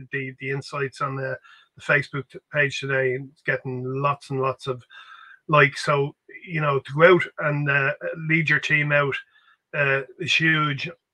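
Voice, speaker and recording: A man with a Dublin accent speaks at a moderate pace in a fairly high pitch. His tone is bright and sharp against a quiet background. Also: big swings in loudness. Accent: Irish (Dublin). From Ireland. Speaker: grassroots football podcast co-host. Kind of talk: casual chat. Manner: halting. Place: home room. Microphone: video call.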